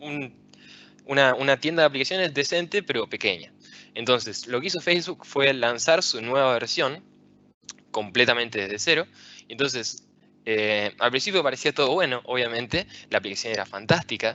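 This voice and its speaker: A man with an Argentine accent and lively intonation. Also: medium pitch for a man, moderate pace. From Argentina, Rosario. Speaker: software engineer and tech speaker. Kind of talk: conference talk.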